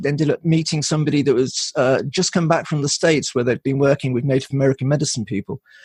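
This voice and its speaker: The man's somewhat breathy voice shows ordinary pitch variation, recorded with a dry, close sound and no echo. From Wales, Pembrokeshire. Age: 60s. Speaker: shamanic practitioner. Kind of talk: podcast interview. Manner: halting, many fillers and restarts.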